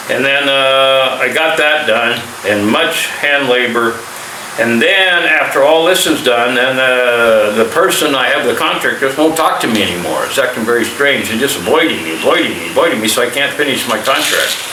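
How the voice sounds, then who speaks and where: Through noticeable background noise and audible room echo, a man speaks with an American accent and ordinary pitch variation. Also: medium pitch for a man, moderate pace. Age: 60s. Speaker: army veteran and vlogger. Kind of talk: casual vlog monologue. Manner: halting.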